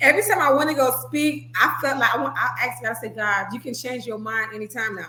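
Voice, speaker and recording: Very fast and with hardly any pauses, a woman with an American accent talks in a fairly high pitch, her tone animated, her intonation lively and her loudness swinging widely, over noticeable background noise. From Little Haiti, Miami, Florida (Haitian American). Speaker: minister, guest speaker. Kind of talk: testimony. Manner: sometimes mumbles.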